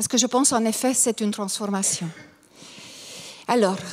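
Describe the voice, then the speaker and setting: A woman with noticeable background noise. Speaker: lecturer on grief and Jungian psychology. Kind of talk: conference talk. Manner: halting, many hesitations.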